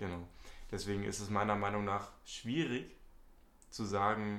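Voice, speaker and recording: In a room with audible echo, a man talks at a fairly slow pace with a fairly low pitch. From Hamburg, northern Germany. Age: young. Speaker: student podcast host. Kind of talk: casual chat.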